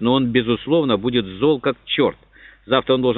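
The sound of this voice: Intonation stays fairly even throughout this unforced reading voice.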